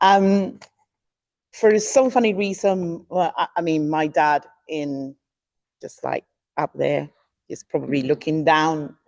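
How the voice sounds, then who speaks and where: Close and dry with no echo, a woman's fairly low voice moves at a very slow pace with lively intonation, big swings in loudness, and long, frequent pauses. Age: 60s. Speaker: conference speaker. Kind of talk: conference talk. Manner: halting.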